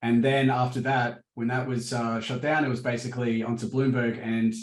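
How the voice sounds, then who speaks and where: Speaking at a moderate pace, a man keeps a monotone, flat intonation. His delivery never varies in pitch. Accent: Australian. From Australia. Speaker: crypto market analyst. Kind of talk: interview. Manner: hesitant, many fillers.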